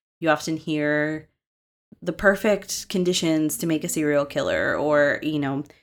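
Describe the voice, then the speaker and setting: A woman with a normal speaking voice and a fairly low pitch speaks at a moderate pace in a very clean recording with a silent background. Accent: American. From Massachusetts. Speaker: podcast host. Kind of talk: true crime storytelling.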